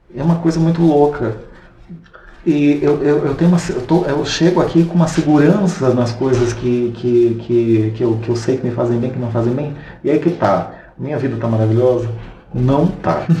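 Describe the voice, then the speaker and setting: Audible room echo and noticeable background noise accompany a man talking in a medium pitch with ordinary pitch variation. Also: moderate pace. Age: 30s. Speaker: podcast co-host. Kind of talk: casual chat.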